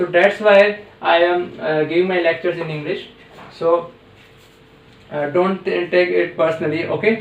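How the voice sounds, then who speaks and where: Amid noticeable background noise, a man with a high pitch speaks in a monotone, flat intonation, leaving long, frequent pauses. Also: moderate pace. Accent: Indian. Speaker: physics teacher. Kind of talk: tutorial. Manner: halting, many fillers.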